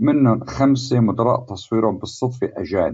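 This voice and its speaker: A man talks in an ordinary speaking voice. His pitch is medium and his intonation fairly even. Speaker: cinematographer. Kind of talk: interview.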